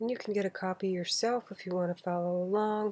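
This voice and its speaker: Soft-spoken and flat in a monotone, a woman speaks at a medium pitch with a dark, mellow tone in a dry, close sound with no echo. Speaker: channel owner reading books aloud. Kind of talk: casual chat. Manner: relaxed, bedtime-story pace. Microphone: quiet recording level.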